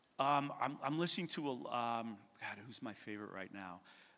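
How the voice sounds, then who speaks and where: A man speaks at a medium pitch with a bright, sharp tone. His intonation is lively, and the room echo is audible. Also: big swings in loudness. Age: 60s. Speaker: retail real estate investor. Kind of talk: onstage interview. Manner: halting.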